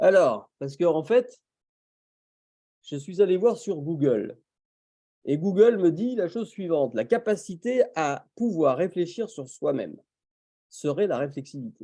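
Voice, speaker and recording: Taking long, frequent pauses at a fairly slow pace, a man with a high, dark, mellow voice makes very wide pitch swings. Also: quiet background. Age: 60s. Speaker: professional coach and webinar presenter. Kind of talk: webinar presentation. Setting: video call webinar.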